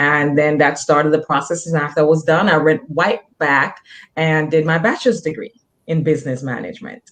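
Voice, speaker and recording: A woman with a Jamaican accent has a very deep, low pitch with ordinary pitch variation. She talks at a fairly quick pace. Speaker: nurse practitioner. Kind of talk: interview.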